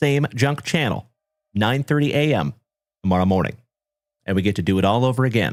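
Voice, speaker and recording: With an animated tone and lively intonation, a man at medium pitch talks at a fairly quick pace, keeping his loudness very even and leaving long, frequent pauses, on a very clean recording with a silent background. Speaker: card break livestream host. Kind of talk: live stream chat.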